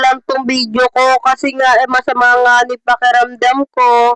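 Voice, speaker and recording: A woman with a high voice talks at a fairly slow pace. The sound is dry and close with no echo, and music plays in the background. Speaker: vlogger. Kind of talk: vlog voiceover narration.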